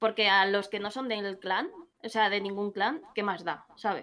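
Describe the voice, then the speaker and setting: A woman in a Madrid accent, medium in pitch, with a bright, sharp tone. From Madrid, Spain; Spain. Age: 30s. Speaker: gamer. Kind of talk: casual chat. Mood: frank, slightly annoyed. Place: home room.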